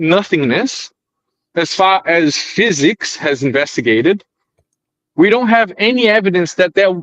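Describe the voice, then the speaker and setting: With lively intonation and a high pitch, a man talks with long, frequent pauses in a dry, close sound with no echo. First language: not English. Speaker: debate panelist. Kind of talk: casual debate. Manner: halting.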